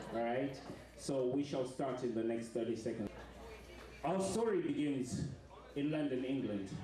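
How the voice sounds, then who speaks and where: A man's voice comes with audible room echo. Noticeable background noise is present too. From Zimbabwe. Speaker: performance artist. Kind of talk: audience address before show; live spoken word performance. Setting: stage with audience in a restaurant. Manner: loud and clear.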